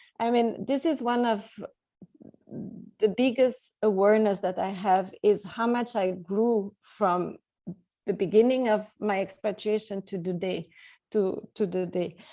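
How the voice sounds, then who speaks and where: This woman has a non-native accent, a medium pitch and a dark, mellow tone. Her intonation is fairly even, and she talks at a fairly slow pace with long, frequent pauses. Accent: non-native English, audible. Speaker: expat coach and author. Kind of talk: interview. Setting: call.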